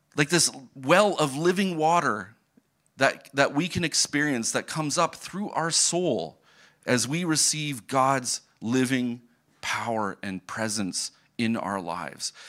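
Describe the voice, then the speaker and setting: In a Canadian accent, a man with a fairly high pitch speaks at a very slow pace in a bright, sharp tone. His pitch swings are very wide, and the recording is very clean with a silent background. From Ontario, Canada. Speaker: missionary. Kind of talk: sermon. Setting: church.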